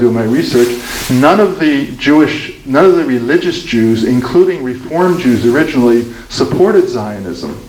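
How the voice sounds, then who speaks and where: A man's speech comes through with room echo that can be heard and noticeable noise in the background. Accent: American. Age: 70s. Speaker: author and speaker on Israel-Palestine. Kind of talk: Q&A after a talk. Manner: halting, with many restarts.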